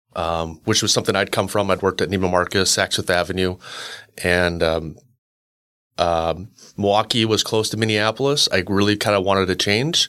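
In a normal speaking voice, a man with a fairly low pitch talks at a moderate pace with fairly even intonation and very even loudness, on a very clean recording with a silent background. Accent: Canadian. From Canada, Winnipeg. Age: 40s. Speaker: real estate broker. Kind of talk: interview.

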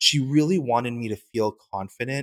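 In a very clean recording with a silent background and a dry, close sound with no echo, a man has an unremarkable speaking voice, a medium pitch, and ordinary pitch variation. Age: 30s. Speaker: fashion brand founder. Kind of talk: interview.

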